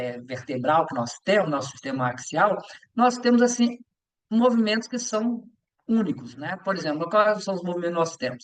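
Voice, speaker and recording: The man's voice sits at a high pitch and makes very wide pitch swings. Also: moderate pace. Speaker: yoga teacher and physical education teacher. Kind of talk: lecture. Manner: halting with many fillers.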